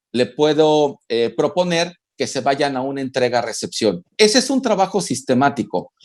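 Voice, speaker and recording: Using a plain, everyday voice, a man with a fairly high pitch speaks at a fairly slow pace with lively intonation on a very clean recording with a silent background. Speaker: family visitation network official. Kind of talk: interview answer.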